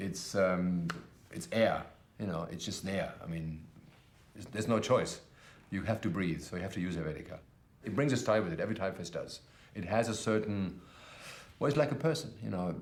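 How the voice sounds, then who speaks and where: With a German accent, a man of fairly low pitch talks at a fairly quick pace. He takes long, frequent pauses, and there is audible room echo. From Germany. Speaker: type designer. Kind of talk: documentary interview. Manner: fast; loud.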